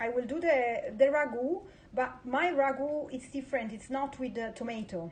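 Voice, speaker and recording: The voice, with an Italian accent, moves at a moderate pace with ordinary pitch variation and big swings in loudness over noticeable background noise. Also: woman, high pitch for a woman. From Italy. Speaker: home cook. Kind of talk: live-streamed cooking chat. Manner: halting.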